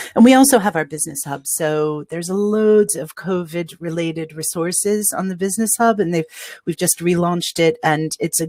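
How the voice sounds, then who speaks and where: A woman with an American accent talks at a moderate pace with hardly any pauses. It is an ordinary speaking voice with ordinary pitch variation. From United States. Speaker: city official for nightlife. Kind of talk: webinar presentation.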